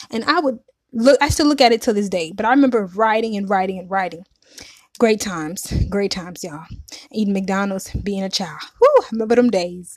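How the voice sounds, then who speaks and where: A woman at medium pitch has an unremarkable speaking voice, with ordinary pitch variation and big swings in loudness. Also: fairly quick pace. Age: 30s. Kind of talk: testimony. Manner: casual, conversational.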